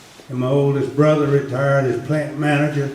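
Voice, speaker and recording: In a fairly high voice, a man speaks with a North Carolina accent amid noticeable background noise and audible room echo. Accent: North Carolina Southern. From US South, North Carolina (Hillsborough). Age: 80s+. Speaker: former mill worker, panelist. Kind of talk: panel talk. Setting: church program with audience.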